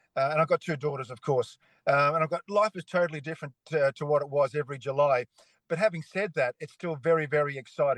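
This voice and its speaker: Speaking very fast with an Australian accent, the voice keeps a fairly even intonation in a dry, close sound with no echo. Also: man. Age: 60s. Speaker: retired cycling broadcaster. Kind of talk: casual chat.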